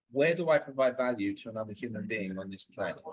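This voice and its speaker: In a British accent, a man speaks at a very fast pace. His intonation is lively. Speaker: communication coach. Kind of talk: interview. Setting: podcast.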